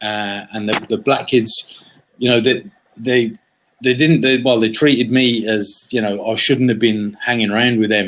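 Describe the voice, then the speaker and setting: A man talks with fairly even intonation in an English accent. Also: medium pitch for a man, moderate pace. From West of Ireland, then England from age eight. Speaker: entrepreneur. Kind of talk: interview. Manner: halting, many fillers and repeats; casual.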